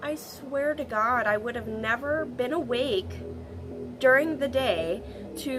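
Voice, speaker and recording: With music in the background, a woman talks at a high pitch and a very slow pace. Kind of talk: casual talk to camera. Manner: casual, rambling.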